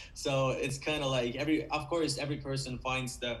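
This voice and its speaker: A man speaks at a moderate pace with a Finnish accent. Audible echo from the room surrounds his voice. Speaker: rock band vocalist. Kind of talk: interview. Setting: video call.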